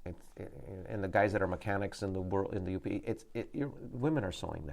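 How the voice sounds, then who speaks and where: A man speaks very fast at a fairly low pitch, with ordinary pitch variation. Noticeable background noise runs underneath. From Upper Peninsula of Michigan. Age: 60s. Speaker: business owner. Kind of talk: interview. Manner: halting, repeats words.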